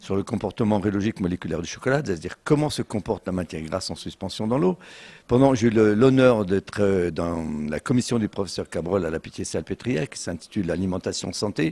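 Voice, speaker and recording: A man talks at a fairly quick pace with lively intonation and a dark, mellow tone. The recording is very clean with a silent background. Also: fairly low pitch for a man, dry, close sound with no echo. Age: 70s. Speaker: chocolatier. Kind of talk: interview.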